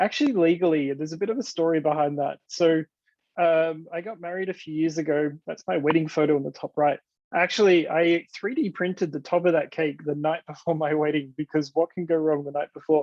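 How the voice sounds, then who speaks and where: Speaking at a fairly quick pace, a man with an Australian accent has a fairly high pitch for a man. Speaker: developer advocate, conference speaker. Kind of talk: conference talk. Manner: casual, enthusiastic.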